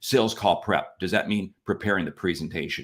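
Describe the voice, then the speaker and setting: Fairly low in pitch, this man has an ordinary speaking voice. His pace is moderate. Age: 60s. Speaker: sales expert co-host. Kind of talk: casual chat.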